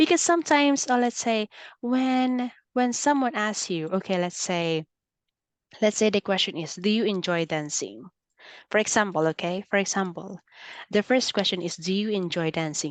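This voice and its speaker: With a slight Filipino accent, the speaker talks at a moderate pace with lively intonation in a dry, close sound with no echo against a quiet background. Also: woman, medium pitch for a woman. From Philippines. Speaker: English teacher. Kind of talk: online English lesson.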